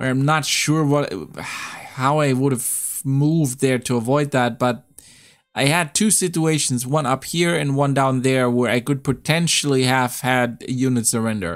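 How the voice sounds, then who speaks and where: At a fairly slow pace, a man with a medium pitch and ordinary pitch variation speaks at very even loudness in a very clean recording with a silent background. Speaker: gaming streamer. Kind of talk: gameplay commentary.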